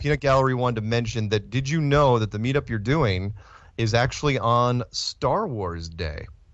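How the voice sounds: A man at medium pitch and moderate pace. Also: ordinary pitch variation.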